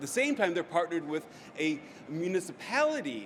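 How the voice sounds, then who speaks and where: A man with an American accent talks at a fairly quick pace in a high pitch, his intonation lively, over noticeable background noise. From United States. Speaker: business strategy consultant. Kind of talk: conference talk.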